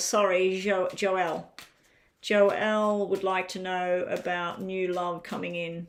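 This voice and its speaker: In a very clean recording with a silent background, a woman with an Australian accent speaks at a fairly slow pace. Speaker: card reader doing live readings.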